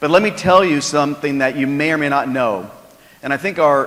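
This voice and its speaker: A man's fairly high voice at a fairly quick pace with ordinary pitch variation, amid noticeable background noise. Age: 60s. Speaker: sales executive. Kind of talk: keynote speech. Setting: stage with audience.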